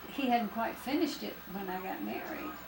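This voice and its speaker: Noticeable background noise sits behind a woman's voice. She speaks at a moderate pace, fairly high in pitch, with ordinary pitch variation. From Stockton, California. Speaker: grandmother. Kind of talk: casual reminiscing conversation.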